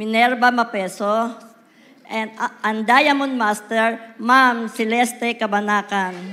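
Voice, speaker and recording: A woman at a fairly slow pace, her intonation monotone and flat. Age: 70s. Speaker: network marketing distributor. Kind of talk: promotion speech.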